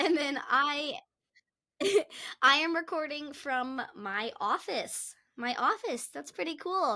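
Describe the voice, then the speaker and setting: Speaking at a very slow pace with long, frequent pauses, a woman uses a raised, projected voice at a high pitch. Her tone is bright and sharp, and her intonation is lively. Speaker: podcast co-host and gymnastics coach. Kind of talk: casual chat. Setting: remote video call from office.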